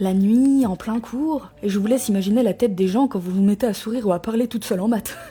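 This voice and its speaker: Over noticeable background noise, a woman rattles along at a very fast pace with hardly any pauses, her fairly high pitch showing ordinary variation. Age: 20s. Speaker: YouTuber sharing personal experience. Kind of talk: personal testimony. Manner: casual, informal.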